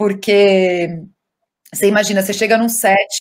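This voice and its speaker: A woman speaks in a medium pitch with fairly even intonation. She has a normal speaking voice. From southern Brazil (Rio Grande do Sul). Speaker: actress. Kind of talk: interview. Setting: video call.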